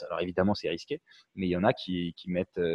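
This man talks at a fairly quick pace, and the sound is dry and close, with no echo. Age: young. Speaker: webinar host. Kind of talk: webinar interview. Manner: halting, many repetitions.

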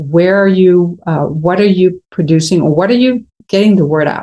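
The voice has a dark, mellow tone and a Spanish accent. It moves at a moderate pace with ordinary pitch variation. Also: woman. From Venezuela. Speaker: entrepreneur and creative consultant. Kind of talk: interview.

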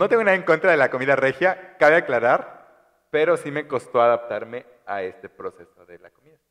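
A man's fairly high voice with vocal fry, lively intonation, big swings in loudness, and a fairly quick pace. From Chiapas, Mexico (Tuxtla). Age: 20s. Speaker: podcast guest. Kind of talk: casual chat.

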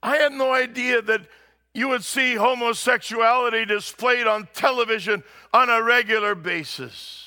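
A man with an extremely high pitch uses a raised, projected voice with a bright, sharp tone, fairly even intonation, and a moderate pace. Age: 60s. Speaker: pastor. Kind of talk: sermon. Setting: church.

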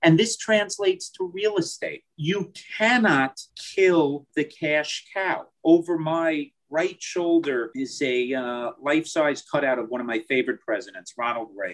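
A man with a plain, everyday voice speaks at a fairly slow pace with a fairly high pitch and lively intonation. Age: 40s. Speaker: real estate investment sales executive. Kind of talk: interview.

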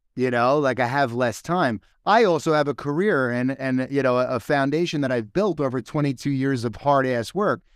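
In a very clean recording with a silent background, a man with an American accent talks at medium pitch and a moderate pace in an ordinary speaking voice, with ordinary pitch variation. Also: very even loudness. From New York. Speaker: entrepreneur. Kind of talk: casual chat.

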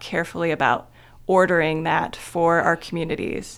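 Vocal fry marks this moderate-paced speech in a Midwestern American accent, on a very clean recording with a silent background. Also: woman. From Ohio, small town in Wayne County. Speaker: library communications officer. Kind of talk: radio interview.

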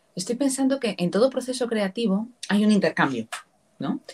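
In a fairly high voice with vocal fry, a woman speaks at a moderate pace with lively intonation. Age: 30s. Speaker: podcast host. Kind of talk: interview.

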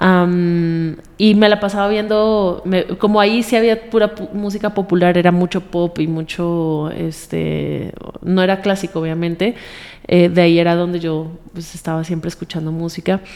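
A woman's fairly low-pitched voice at a moderate pace, fairly even in intonation, with noticeable background noise. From Colombia. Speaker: singer. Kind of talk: interview.

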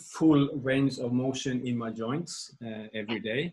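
The man's pitch is medium. It varies in an ordinary way. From Norway. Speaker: movement coach and massage therapist. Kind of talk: interview. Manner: halting.

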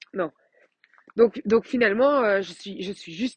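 A woman's voice at a moderate pace, with ordinary pitch variation and a dry, close sound with no echo. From Belgium. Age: 30s. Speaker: life coach. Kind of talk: podcast monologue. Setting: outdoors while walking. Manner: hesitant with many fillers.

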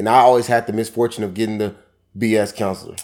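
Speaking at a fairly quick pace, a man with an American accent uses an ordinary speaking voice at medium pitch. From Seattle, Washington. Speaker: author and motivational speaker. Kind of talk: casual interview.

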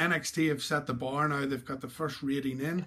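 A man with an Irish accent, a fairly high pitch and monotone, flat intonation. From Ireland. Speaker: podcast host. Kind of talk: casual interview chat.

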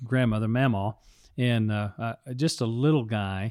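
A man with an American accent speaks in an unremarkable speaking voice, using ordinary pitch variation. The sound is dry and close with no echo, and the recording is very clean with a silent background. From Texas. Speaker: pastor. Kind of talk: casual chat.

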